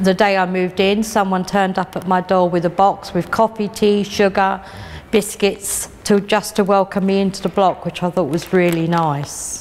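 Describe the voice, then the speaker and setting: In a London accent, someone speaks at a moderate pace with monotone, flat intonation over noticeable background noise. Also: woman, medium pitch for a woman. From South London, Lambeth. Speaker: estate resident. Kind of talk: interview.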